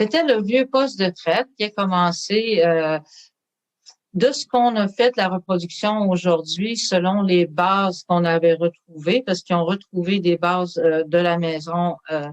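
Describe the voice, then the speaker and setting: At a very slow pace, a woman speaks in a fairly low voice with ordinary pitch variation, recorded dry and close with no echo. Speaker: storyteller and artist, museum guide. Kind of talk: interview answer, explaining museum history.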